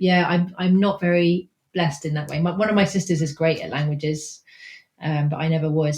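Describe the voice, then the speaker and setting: A somewhat breathy woman's voice, fairly low in pitch, at a fairly quick pace with fairly even intonation. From England, raised abroad (Venezuela, Nigeria, Japan). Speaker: textile artist. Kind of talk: interview conversation. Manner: halting, many false starts.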